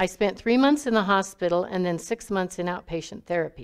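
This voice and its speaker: A woman with an American accent speaks at a medium pitch in a plain, everyday voice with ordinary pitch variation. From Texas. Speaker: recovery group member sharing testimony. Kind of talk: testimony.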